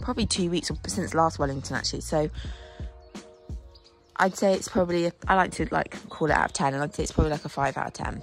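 Faint music plays in the background as a woman talks at a very fast pace in a very deep, low voice, the sound dry with no echo. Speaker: horse rider vlogger. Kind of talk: casual vlog chat. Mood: nervous before competition. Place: farm. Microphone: phone near.

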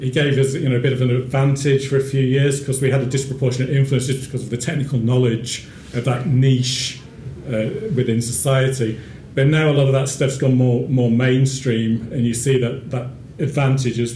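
A man talks at a fairly quick pace with monotone, flat intonation. There is audible room echo and light background noise. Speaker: speaker. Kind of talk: talk to a small audience. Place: hall. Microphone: podium.

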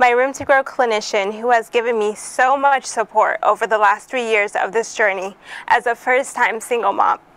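A woman's fairly high voice with ordinary pitch variation at a moderate pace, in a dry sound with no echo. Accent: American. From US, Haitian family (Boston area). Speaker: program graduate, single mother. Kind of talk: testimony speech. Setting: event podium, live broadcast. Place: office. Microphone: lapel.

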